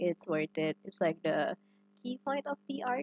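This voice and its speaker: A woman speaks at a moderate pace and medium pitch. The sound is dry and close, with no echo. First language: not English. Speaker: digital artist. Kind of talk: casual talk rating own artwork. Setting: laptop microphone, poor audio.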